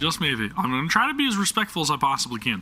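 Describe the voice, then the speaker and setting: This man uses a raised, projected voice and keeps a moderate pace. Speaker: gaming streamer. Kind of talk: live gameplay commentary. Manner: casual, chatty.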